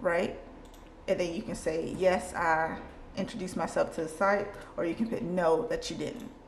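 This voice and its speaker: Audible room echo around speech at a moderate speed, pitch moving in an ordinary way. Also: woman, medium pitch for a woman. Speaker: clinical research associate vlogger. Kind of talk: tutorial. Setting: in a car. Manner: slurred speech from dental aligners.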